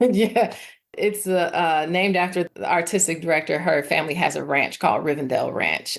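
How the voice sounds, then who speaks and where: A woman with a slight Atlanta accent speaks at a moderate pace in a fairly low voice with vocal fry and ordinary pitch variation. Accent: slight Southern twang, sounds like Atlanta. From Chicago. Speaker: actress. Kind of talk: interview. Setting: podcast interview. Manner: many fillers and restarts.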